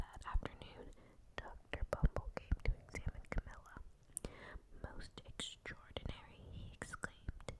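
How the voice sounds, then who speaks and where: Someone whispers at a moderate pace. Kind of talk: ASMR read-aloud of children's books. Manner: soft-spoken, whispered.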